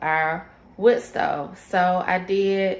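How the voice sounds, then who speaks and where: Speaking at a very slow pace, a woman keeps her intonation fairly even. Her pitch is medium. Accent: Southern US. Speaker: homesteading vlogger. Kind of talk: casual vlog. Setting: at home at night. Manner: loud.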